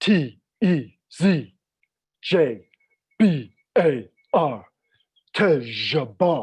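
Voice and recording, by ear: At a very slow pace, a put-on character voice at middle pitch speaks with long, frequent pauses.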